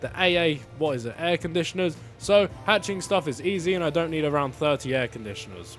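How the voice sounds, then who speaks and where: Music plays in the background as a man speaks at a fairly quick pace with ordinary pitch variation. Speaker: gaming YouTuber. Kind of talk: gameplay narration; casual live gameplay commentary. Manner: stutter.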